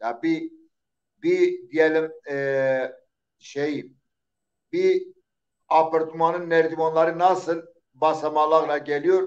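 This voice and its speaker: A man's high-pitched voice with an Eastern Anatolian accent and fairly even intonation. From Eastern Turkey, Zaza village near Diyarbakır. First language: Zazaki (speaking Turkish). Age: 60s. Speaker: poet. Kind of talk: interview. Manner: halting.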